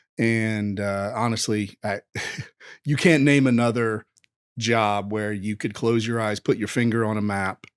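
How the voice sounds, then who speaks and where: A man with a Southern US accent talks at a fairly slow pace. His intonation is fairly even, and the recording is very clean with a silent background. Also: fairly low pitch for a man, dry, close sound with no echo. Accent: Southern US (Georgia). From US South, rural Georgia. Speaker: entrepreneur. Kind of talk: podcast interview.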